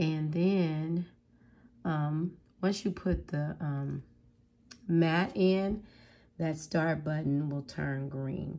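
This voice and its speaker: Against a quiet background, a woman with a very deep, low, husky voice and a dark, mellow tone speaks at a very slow pace with fairly even intonation and long, frequent pauses. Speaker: craft tutorial maker. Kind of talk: casual tutorial talk to camera.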